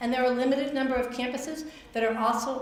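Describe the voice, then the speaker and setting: A woman speaks at a very fast pace with fairly even intonation. Audible room echo and noticeable background noise are present. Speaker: workshop presenter, college financial aid counselor. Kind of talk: workshop presentation.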